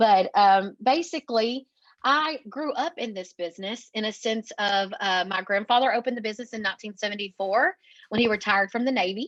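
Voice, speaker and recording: Talking fairly quickly with an East Texas accent, a woman uses a fairly high pitch and ordinary pitch variation, the sound dry and close with no echo over a quiet background. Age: 30s. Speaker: marketing agency owner. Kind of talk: podcast interview.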